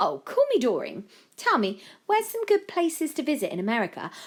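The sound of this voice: A woman uses a put-on character voice at a high pitch and moderate pace. Her pitch swings very widely.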